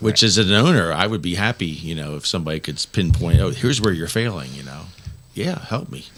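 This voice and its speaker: Over noticeable background noise, a man with a very deep, low voice talks at a very fast pace with lively intonation. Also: big swings in loudness. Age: 60s. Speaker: brewery owner. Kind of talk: casual chat. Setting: studio.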